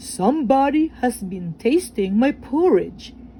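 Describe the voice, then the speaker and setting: A woman's put-on character voice, high in pitch and fairly slow, over clear background noise. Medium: read story.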